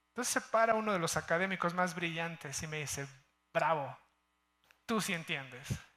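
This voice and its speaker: In a very clean recording with a silent background, a man with a high pitch and a bright, sharp tone speaks at a moderate pace. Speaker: healthcare executive. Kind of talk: conference talk. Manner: casual, with many fillers.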